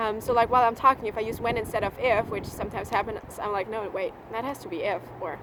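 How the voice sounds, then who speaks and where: Someone with a slight German accent talks at a very fast pace, the intonation fairly even. Noticeable background noise runs under the voice. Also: woman. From Germany. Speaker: au pair vlogger. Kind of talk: casual vlog monologue.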